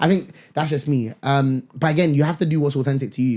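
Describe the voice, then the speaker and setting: This man speaks with a London accent, his pitch fairly high and its variation ordinary. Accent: London multicultural English. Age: 20s. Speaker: corporate professional and content creator. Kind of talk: casual podcast chat.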